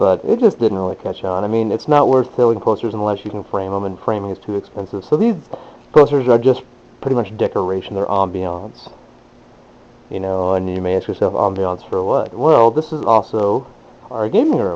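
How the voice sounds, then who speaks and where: Here is a man with an unremarkable speaking voice, a fairly low pitch and ordinary pitch variation, talking at a fairly quick pace. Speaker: toy store owner. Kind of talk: store tour video.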